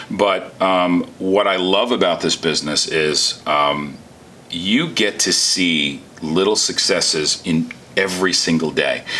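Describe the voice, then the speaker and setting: A man talks at a very slow pace with a New Jersey accent and very even loudness. Noticeable background noise runs underneath. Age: 50s. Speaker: entrepreneur. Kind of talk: interview. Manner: animated.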